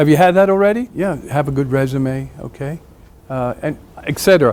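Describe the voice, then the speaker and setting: With noticeable background noise around him, a man with a fairly high voice talks at a fairly quick pace. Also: ordinary pitch variation. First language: Spanish. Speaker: business executive, guest speaker. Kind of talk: talk to students. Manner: halting.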